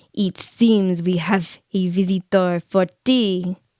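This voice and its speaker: A woman's raspy, put-on character voice at medium pitch, delivered at a very slow pace. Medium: read story.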